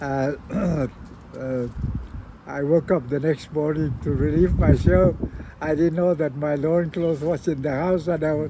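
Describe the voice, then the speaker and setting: A man talks with a Northern Mariana Islands accent at a fairly slow pace. His pitch is fairly high and varies in an ordinary way. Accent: Carolinian-Chamorro Pacific Islander English. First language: Carolinian. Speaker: oral history interviewee, Carolinian community elder. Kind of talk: interview. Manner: halting, many fillers.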